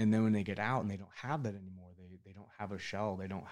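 In a very clean recording with a silent background, a man speaks with an American accent. His fairly low voice stays monotone, with flat intonation. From Northern California. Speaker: business owner, Navy veteran. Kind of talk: casual interview chat.

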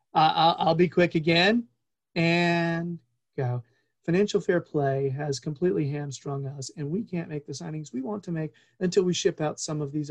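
In a plain, everyday voice, the speaker keeps a moderate pace, recorded dry and close with no echo. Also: man. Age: 40s. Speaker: soccer podcast host. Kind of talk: casual chat.

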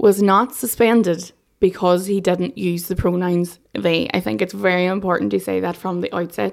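This woman speaks in an Irish accent at a medium pitch with ordinary pitch variation. Her pace is moderate. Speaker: political correspondent. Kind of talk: news discussion.

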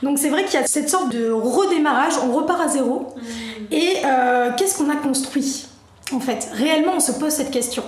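A woman's high-pitched voice at a moderate pace, with ordinary pitch variation and very even loudness, plus audible room echo and noticeable background noise. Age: 30s. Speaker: digital marketing agency owner. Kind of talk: casual chat.

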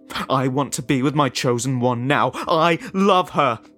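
A man shouts in a put-on character voice at a medium pitch and a moderate pace. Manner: desperate, rising to a scream.

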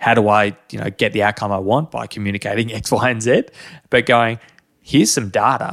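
With an Australian accent, a man talks at a fairly quick pace on a very clean recording with a silent background. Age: 30s. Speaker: podcast host. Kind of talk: casual chat.

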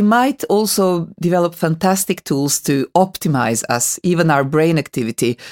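Fairly low-pitched woman with a Hungarian accent and lively intonation, in a dry, close sound with no echo. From Hungary. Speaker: podcast host. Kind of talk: interview. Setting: studio. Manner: hesitant, many fillers.

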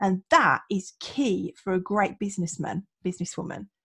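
A woman talks at a fairly slow pace in a somewhat breathy, animated tone, the sound dry and close with no echo. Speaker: podcast host. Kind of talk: casual interview chat. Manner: animated, excitable.

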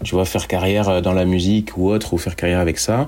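Fairly low in pitch, a man talks at a fairly quick pace with fairly even intonation in an ordinary speaking voice. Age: 30s. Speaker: podcast co-host, works in music distribution. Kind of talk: casual chat.

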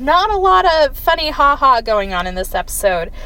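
A woman speaks in a high, raised, projected voice. Her pitch swings very widely. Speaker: podcast host. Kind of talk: casual recap monologue. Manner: casual with frequent fillers.

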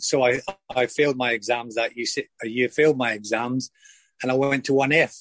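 In a Lanarkshire accent, a man speaks fairly quickly at a medium pitch with fairly even intonation, the sound dry and close with no echo. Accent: Lanarkshire Scottish. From Scotland, Wishaw, Lanarkshire. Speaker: former professional footballer. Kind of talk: interview. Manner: halting, many fillers and repetitions.

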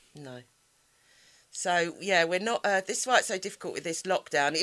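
A woman with a South London accent talks at a fairly quick pace, with ordinary pitch variation. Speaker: podcast co-host, guest house owner. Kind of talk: casual, slangy.

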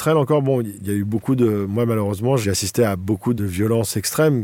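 A man talks very fast in a dark, mellow tone. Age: 40s. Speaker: photojournalist. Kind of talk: testimony. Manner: casual, with hesitations.

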